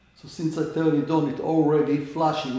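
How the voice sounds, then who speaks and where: A moderate pace with audible room echo. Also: man. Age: 80s+. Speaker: amateur astronomer. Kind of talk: tutorial. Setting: indoors at home. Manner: halting. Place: home room. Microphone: camera far.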